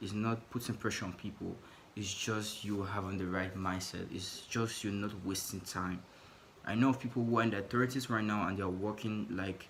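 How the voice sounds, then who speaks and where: A man with a non-native accent and a fairly low pitch, moderate pace and fairly even intonation, with audible room echo. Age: 20s. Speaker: vlogger. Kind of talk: personal vlog monologue. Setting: in his room. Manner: halting.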